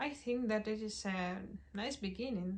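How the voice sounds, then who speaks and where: Somewhat breathy, a woman talks at a very slow pace in a non-native accent. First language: not English. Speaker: doll collector YouTuber. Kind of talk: casual review monologue.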